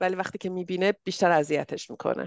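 A woman with an unremarkable speaking voice talks fairly quickly at a medium pitch with ordinary pitch variation, recorded dry and close with no echo. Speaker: podcast host. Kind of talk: casual interview chat.

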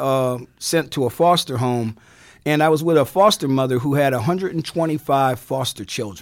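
This man has a normal speaking voice, fairly high in pitch with ordinary pitch variation and a moderate pace. The recording is very clean, with a silent background. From Indiana (South Bend) and Newark, New Jersey. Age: 60s. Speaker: lawyer and radio music host. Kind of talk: interview. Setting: studio.

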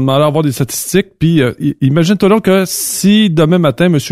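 Speaking at a fairly quick pace, a man with a Quebec accent has a fairly high pitch. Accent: Québécois French. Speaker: trucking industry commentator. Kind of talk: casual chat.

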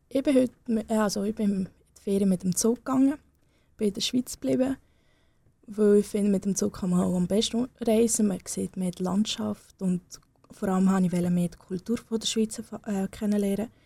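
A woman with a non-native accent speaks at a medium pitch and moderate pace, somewhat breathy. Her tone is dark and mellow, with ordinary pitch variation. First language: not German (speaking German). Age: young. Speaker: young political candidate. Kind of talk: radio interview. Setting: radio studio. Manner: hesitant, with fillers.

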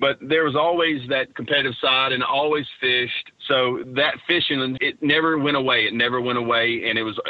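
With noticeable background noise behind him, a man speaks at a moderate pace in a Texan accent. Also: medium pitch for a man, fairly even intonation. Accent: Texan Southern US. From East Texas. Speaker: professional bass angler. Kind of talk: interview.

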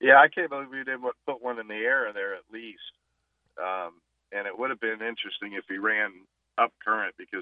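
This man speaks at a medium pitch, with big swings in loudness and long, frequent pauses. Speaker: fishing guide. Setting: phone call.

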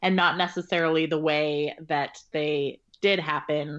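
A woman in a Californian accent talks at a fairly slow pace. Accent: US West Coast (Californian). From rural Northern California. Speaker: novelist. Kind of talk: interview conversation.

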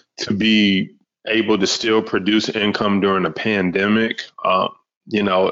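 With an American accent, a man speaks in a fairly low, monotone voice with flat intonation. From Detroit, US. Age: young. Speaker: podcast host and stock market coach. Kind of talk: casual interview chat; podcast intro/outro.

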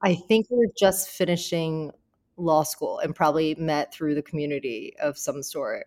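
A woman with a fairly low pitch and an ordinary speaking voice speaks at a moderate pace with ordinary pitch variation, in a dry, close sound with no echo. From US, child of Taiwanese immigrants. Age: 30s. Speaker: lawyer and law firm owner. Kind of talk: casual interview chat.

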